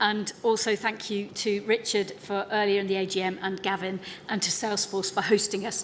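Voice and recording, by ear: A woman's croaky, put-on character voice at medium pitch, flat and monotone, moderate pace, light background noise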